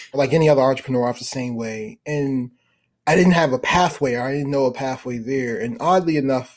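Speaking at a very fast pace, a man with an American accent has a fairly high pitch. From US, Baltimore, Maryland. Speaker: venture capital fund manager. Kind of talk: interview.

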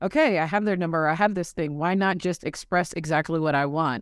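In a very clean recording with a silent background, the words come at a moderate pace. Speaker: podcast host. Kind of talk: casual interview chat.

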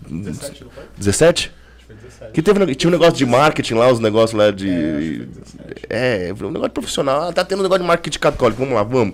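Pitch swings very widely at a moderate pace. Noticeable background noise is present. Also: man, medium pitch for a man. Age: 40s. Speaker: podcast host. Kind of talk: casual chat.

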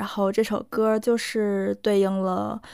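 In a Korean accent, a woman speaks at a very slow pace at medium pitch with fairly even intonation, on a very clean recording with a silent background. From Northeast China. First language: Korean (speaking Chinese). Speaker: podcast co-host. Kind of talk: casual chat; scripted narration.

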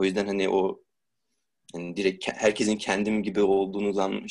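This man's voice is fairly low in pitch. He speaks in a flat monotone. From Turkey, Istanbul. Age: 20s. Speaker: student. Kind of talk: interview.

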